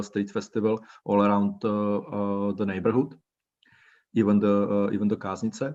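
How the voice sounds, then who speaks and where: Someone speaks at a fairly slow pace with a Czech accent against a quiet background. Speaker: cultural organizer. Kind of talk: online presentation. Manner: halting, many fillers.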